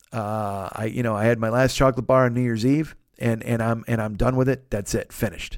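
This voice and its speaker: A man speaks at a fairly quick pace in a plain, everyday voice, with medium pitch and fairly even intonation. The recording is very clean, with a silent background. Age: 40s. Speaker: podcaster. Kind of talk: casual solo podcast monologue. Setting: home studio alone. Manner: rambling, profane, jokey.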